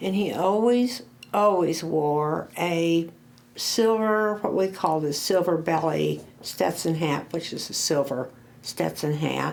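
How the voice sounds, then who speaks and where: A woman's fairly low voice, very slow in pace, with lively intonation. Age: 70s. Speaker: oral history interviewee. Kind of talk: oral history interview. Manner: halting.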